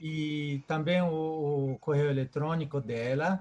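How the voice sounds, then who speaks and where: Speaking very slowly against a quiet background, a man with a fairly high pitch and a Japanese accent sounds somewhat breathy. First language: Japanese (speaking Portuguese). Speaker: event organizer. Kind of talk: closing remarks. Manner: halting, repeats words.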